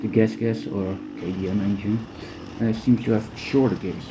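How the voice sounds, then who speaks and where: Noticeable background noise and audible room echo surround a man's voice. He speaks at a moderate pace in a fairly low pitch with ordinary pitch variation. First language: not English. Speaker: amateur motocross racer reviewing bikes. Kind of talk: product review. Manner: halting.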